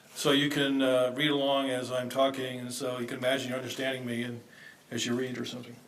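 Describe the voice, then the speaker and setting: Recorded with audible room echo, a man in an American accent talks at a very fast pace. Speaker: academic conference speaker. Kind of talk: conference paper presentation. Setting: conference session, seated. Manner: hesitant, many fillers; hurried.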